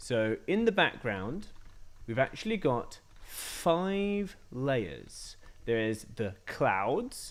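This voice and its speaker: This speaker has a slight British accent and a pitch that swings very widely. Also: man. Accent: slight BBC-style British. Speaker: coding tutor for kids. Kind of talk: live-streamed coding tutorial. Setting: live stream. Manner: hesitant, many fillers.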